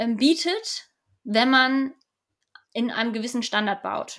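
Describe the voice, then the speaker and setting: A woman talks at a fairly slow pace in a fairly high voice. Her tone is bright and sharp. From Hamburg, northern Germany. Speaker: energy company department head. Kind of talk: expert interview.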